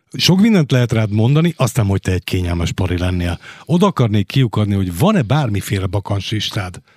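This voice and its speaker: Lively in intonation and somewhat breathy, a man with a fairly low pitch talks at a very fast pace in a dry, close sound with no echo and a very clean recording with a silent background. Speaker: radio host. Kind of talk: radio interview. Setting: studio. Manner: formal.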